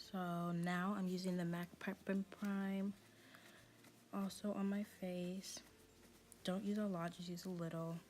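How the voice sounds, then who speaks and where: A woman's quiet voice with monotone, flat intonation, a fairly slow pace, and long, frequent pauses. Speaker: beauty youtuber. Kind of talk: makeup tutorial voiceover. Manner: quiet, talking low; casual, chatty with fillers.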